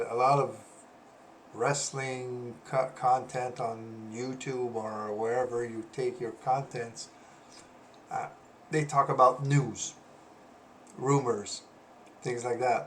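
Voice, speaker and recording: A man with a Quebec accent speaks at a medium pitch and a very slow pace, with fairly even intonation. His loudness swings widely, and he leaves long, frequent pauses. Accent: French Canadian accent in English. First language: French. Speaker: wrestling analyst, former pro wrestler. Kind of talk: casual commentary video. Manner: halting, many fillers.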